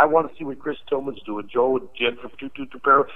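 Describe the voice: A man talks at a fast pace. His pitch sits at medium.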